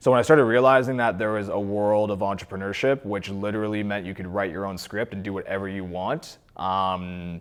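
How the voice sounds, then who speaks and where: In a plain, everyday voice with a Canadian accent, a man talks at a fairly quick pace with hardly any pauses, fairly low pitch and ordinary pitch variation. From Ontario, Canada (Cornwall). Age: 20s. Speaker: entrepreneur. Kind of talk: interview. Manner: casual, conversational.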